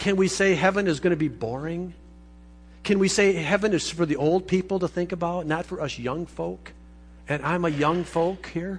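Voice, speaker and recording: A man's high pitch with fairly even intonation. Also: moderate pace. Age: 50s. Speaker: pastor. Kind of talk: sermon.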